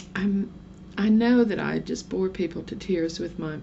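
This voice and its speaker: Amid noticeable background noise and audible room echo, a woman speaks at a moderate pace with an American accent. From southern Oklahoma. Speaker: vlogger. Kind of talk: casual vlog monologue. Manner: rambling, chatty.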